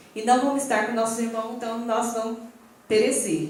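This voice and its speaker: Noticeable noise sits in the background, and the room gives an audible echo. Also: woman. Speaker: pastor. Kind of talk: sermon.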